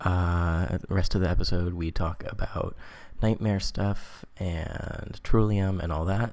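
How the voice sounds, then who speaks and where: Speaking quietly, a man keeps his pitch variation ordinary. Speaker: podcast host. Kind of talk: podcast announcement. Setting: home apartment at night.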